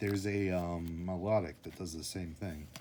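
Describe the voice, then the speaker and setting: A man speaks with a very deep, low voice. There is a somewhat breathy quality to it. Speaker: youtuber opening trading card packs. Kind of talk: casual solo commentary while opening packs.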